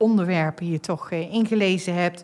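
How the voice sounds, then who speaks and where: A woman at medium pitch speaks with ordinary pitch variation. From Netherlands, North Brabant. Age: 50s. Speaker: energy company executive and podcast host. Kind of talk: casual chat. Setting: studio.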